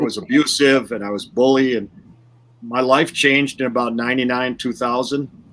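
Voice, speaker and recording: A man speaks fairly quickly in a medium pitch. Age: 60s. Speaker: educational speaker and coach. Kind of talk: podcast interview. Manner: animated, repeats words.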